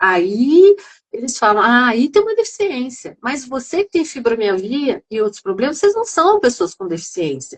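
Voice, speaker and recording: A woman's fairly high voice with very wide pitch swings at a moderate pace. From interior of São Paulo state, Brazil. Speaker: psychoanalyst and patient group founder. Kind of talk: live stream discussion. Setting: live video stream. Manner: animated.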